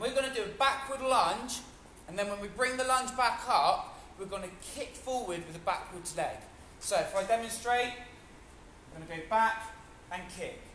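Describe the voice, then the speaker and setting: In a raised, projected voice at an extremely high pitch, a man speaks with an energetic tone, lively intonation and long, frequent pauses, amid light background noise and audible room echo. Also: moderate pace, big swings in loudness. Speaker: fitness instructor. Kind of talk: live online HIIT class instruction, counting reps aloud. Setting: video call. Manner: energetic, encouraging coach calling out counts; casual, chatty and upbeat. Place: gym. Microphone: camera far.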